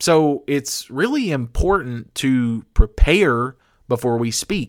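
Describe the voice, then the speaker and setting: Medium-pitched man with an American accent and lively intonation at a very slow pace, on a very clean recording with a silent background. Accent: country accent, sometimes comes through. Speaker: podcast host. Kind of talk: motivational talk.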